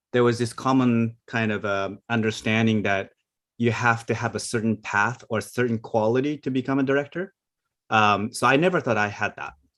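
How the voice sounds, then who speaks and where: A man at medium pitch with ordinary pitch variation, a non-native accent and a moderate pace against a quiet background. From Asia. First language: not English. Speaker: animation film director. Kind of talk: panel discussion. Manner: hesitant, many fillers.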